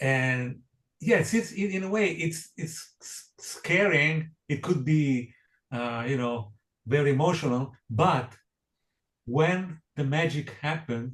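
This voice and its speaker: Somewhat breathy, a man speaks at a very slow pace in a fairly high pitch with ordinary pitch variation. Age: 60s. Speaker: jazz pianist. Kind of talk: interview. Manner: halting, many repetitions and fillers.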